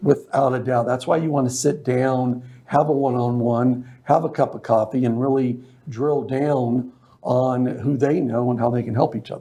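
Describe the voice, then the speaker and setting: A man with an American accent uses a normal speaking voice at a medium pitch. He keeps a moderate pace and fairly even intonation. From Las Vegas, US. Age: 60s. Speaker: business networking organizer. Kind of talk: interview. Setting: studio.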